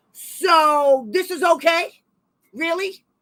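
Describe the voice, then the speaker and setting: A woman with an American accent speaks loudly in an animated tone at an extremely high pitch. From Massachusetts. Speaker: special education advocate and channel host. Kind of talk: heated livestream discussion.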